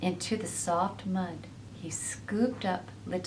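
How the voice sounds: The reading comes across as natural.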